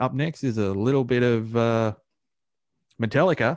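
A man with an Australian accent, medium pitch, ordinary pitch variation and a moderate pace, over a quiet background. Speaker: podcast co-host. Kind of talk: casual banter between co-hosts, with a radio-style sign-off.

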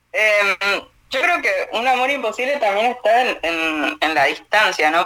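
A woman speaks with an Argentine accent. Her pace is moderate. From Argentina. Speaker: radio host. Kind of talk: casual chat.

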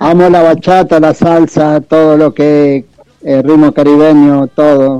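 A man with a Uruguayan accent, fairly high-pitched, at a fairly slow pace, with very even loudness and monotone, flat intonation. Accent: Uruguayan, kept. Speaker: bachata singer. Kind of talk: radio interview.

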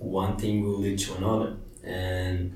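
Delivered in a Portuguese accent, the speech stays monotone and flat, with audible room echo. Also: man. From Brazil. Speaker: meditation teacher. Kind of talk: interview. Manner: hesitant, with fillers.

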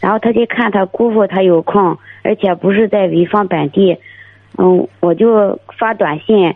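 Her voice sits at a medium pitch. The woman's pitch shifts in an ordinary manner. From Dezhou, Shandong. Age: 20s. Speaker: caller seeking marriage advice. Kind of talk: phone call-in. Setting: phone call. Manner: halting.

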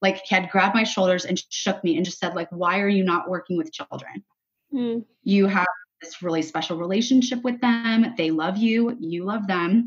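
A woman speaks at a medium pitch and a moderate pace. Her voice is somewhat breathy, with ordinary pitch variation. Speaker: cancer survivor and ministry co-founder. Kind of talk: casual interview, faith testimony.

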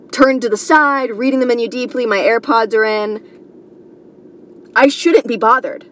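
A loud voice with an American accent, a fairly slow pace, hardly any pauses and ordinary pitch variation. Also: woman, high pitch for a woman. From New York. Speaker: comedian. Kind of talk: casual monologue. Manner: rambling.

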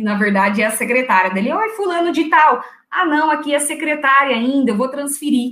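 This woman's voice is high-pitched, bright and sharp. She talks fairly quickly with lively intonation. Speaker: secretarial skills teacher and executive secretary. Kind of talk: tutorial. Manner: loud.

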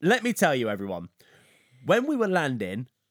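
A man's playful tone with very wide pitch swings at a moderate pace, in a very clean recording with a silent background. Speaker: podcast co-host. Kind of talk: casual chat. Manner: playful, joking.

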